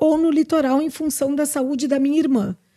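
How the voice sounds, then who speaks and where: Her voice is high-pitched, with a dark, mellow tone and ordinary pitch variation. This woman speaks in a southern Brazilian accent. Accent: Brazilian Portuguese, gaúcho. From interior of Rio Grande do Sul, Brazil. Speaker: social security lawyer. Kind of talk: casual interview.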